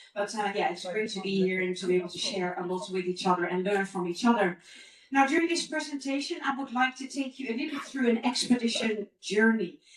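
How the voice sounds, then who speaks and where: Noticeable background noise sits behind a woman with a fairly high pitch. She talks at a very fast pace with lively intonation. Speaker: expedition leader giving a conference talk. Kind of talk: conference presentation. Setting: conference stage with audience.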